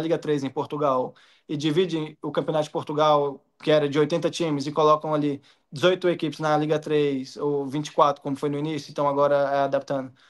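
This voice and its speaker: The background is quiet. A man with a fairly high voice talks at a very fast pace. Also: monotone, flat intonation. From Minas Gerais, Brazil. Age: 20s. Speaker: professional footballer. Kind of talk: interview answer. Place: home room. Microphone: video call.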